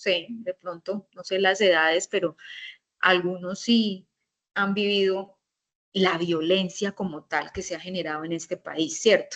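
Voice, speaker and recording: In a dry, close recording with no echo, a woman with an unremarkable speaking voice talks fairly slowly at a medium pitch and with fairly even intonation. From Colombia. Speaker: teacher. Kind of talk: lecture.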